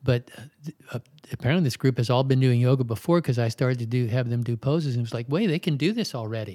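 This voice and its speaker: In an American accent, a man talks very fast at a medium pitch, his tone dark and mellow with ordinary pitch variation, on a very clean recording with a silent background. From Maryland, US. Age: 70s. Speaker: yoga teacher. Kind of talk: interview.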